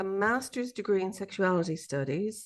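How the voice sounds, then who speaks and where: With an Irish accent, a woman speaks at a medium pitch against a quiet background. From Ireland. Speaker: sociologist and abuse survivor support coach. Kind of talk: podcast interview.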